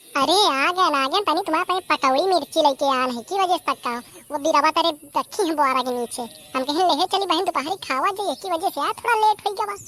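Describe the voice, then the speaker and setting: Using a cartoonish character voice, a woman speaks at a very fast pace with an extremely high pitch and lively intonation, the sound dry and close with no echo. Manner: relaxed, chatty.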